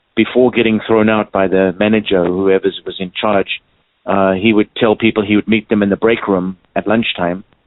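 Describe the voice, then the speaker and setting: A man speaks at a fairly quick pace and a fairly low pitch. He has a slight South African accent. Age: 60s. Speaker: clown and stilt walker. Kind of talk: interview. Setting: phone call. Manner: halting, many fillers.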